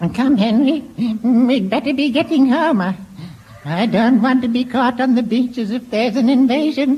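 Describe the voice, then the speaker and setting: Using a put-on character voice, a woman speaks at a moderate pace with a high, shaky pitch over light background noise. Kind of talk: comic radio old-lady voice. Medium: old radio play. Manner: stammering, quavering.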